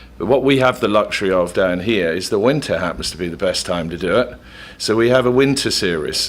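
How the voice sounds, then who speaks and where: A man with an English accent talks at a fairly quick pace, his pitch fairly low and his intonation lively. Noticeable background noise sits behind him. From England. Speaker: equestrian event organizer. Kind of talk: radio interview.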